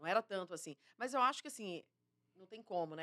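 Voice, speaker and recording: Bright and sharp in tone, a woman talks at a medium pitch in a dry, close recording with no echo. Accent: Minas Gerais. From Minas Gerais, Brazil. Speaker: TV journalist. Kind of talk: interview conversation.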